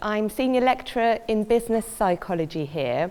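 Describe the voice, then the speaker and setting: Her fairly high pitch swings very widely as the woman speaks. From Poland. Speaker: university lecturer. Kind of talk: lecture. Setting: lecture hall.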